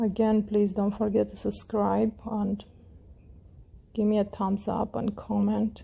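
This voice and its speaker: A woman speaks at a fairly slow pace with long, frequent pauses, her medium-pitched voice somewhat breathy and dark and mellow in tone. Her intonation is monotone and flat, and her tone is calm and relaxed. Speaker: crochet tutorial creator. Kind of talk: tutorial. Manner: calm, relaxed.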